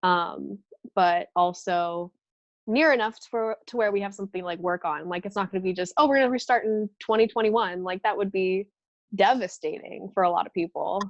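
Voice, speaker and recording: A woman with an American accent talks fairly quickly in a medium pitch with ordinary pitch variation, the sound dry and close with no echo and the background quiet. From Southern California. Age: 20s. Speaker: professional golfer. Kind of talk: interview.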